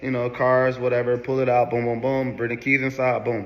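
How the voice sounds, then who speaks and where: A man's mid-range voice stays monotone and flat while clear background noise goes on. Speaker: vlogger. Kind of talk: storytelling to camera. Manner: casual.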